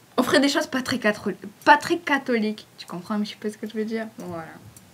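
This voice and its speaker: In a southern French accent, a woman speaks at a fairly high pitch with lively intonation. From southern France. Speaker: fan page admin. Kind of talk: casual Q&A video. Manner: casual, hesitant with fillers.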